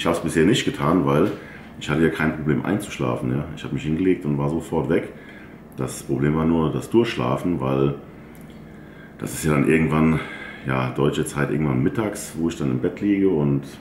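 With audible room echo and light background noise, a man with a very deep, low voice talks at a fairly quick pace and ordinary pitch variation. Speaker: bodybuilder vlogger. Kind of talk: casual vlog chat. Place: home room.

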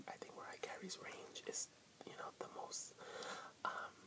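A man, fairly slow, over loud background noise. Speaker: vlogger. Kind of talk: casual vlog chat. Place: home room. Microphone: webcam.

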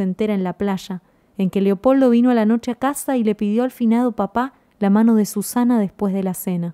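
A dark, mellow tone with fairly even intonation comes at a moderate pace, in a dry, close sound with no echo on a very clean recording with a silent background. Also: woman. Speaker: audiobook narrator. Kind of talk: reading aloud. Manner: changes tone for quoted parts.

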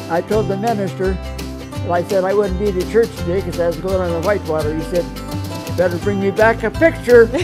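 Speech moves at a fairly quick pace. Clear music plays in the background. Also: man. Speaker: retired logger and mechanic. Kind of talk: interview answer. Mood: cheerful, storytelling. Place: garden.

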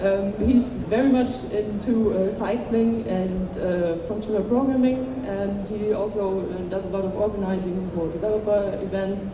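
At a moderate pace and with few pauses, a woman speaks at medium pitch with fairly even intonation over clear background noise.

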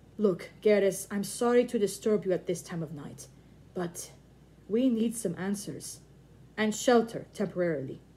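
Pitch moves in an ordinary way. The delivery is a natural reading voice.

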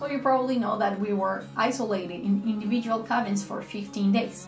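Against clear music in the background and audible room echo, a woman speaks at a fairly quick pace with ordinary pitch variation. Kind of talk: casual vlog talk. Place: home room.

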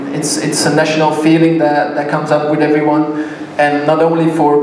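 Amid light background noise and audible room echo, a man speaks at a moderate pace with a fairly high pitch and monotone, flat intonation. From Belgium. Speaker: sponsor representative. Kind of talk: ceremony speech. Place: hall.

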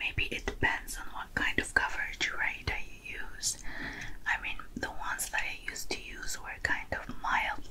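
Her pace stays fairly slow. The woman whispers throughout. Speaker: ASMR makeup roleplay host. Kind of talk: soft roleplay tutorial chat.

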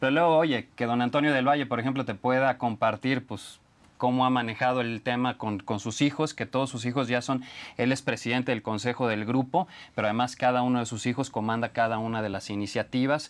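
The background is quiet as a man talks at a fairly quick pace. His pitch is medium and his intonation fairly even. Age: middle-aged. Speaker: TV business show host. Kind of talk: interview.

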